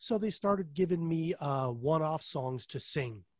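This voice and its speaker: A man's somewhat breathy voice. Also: very clean recording, silent background. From US, Colorado. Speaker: heavy metal singer. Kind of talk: interview.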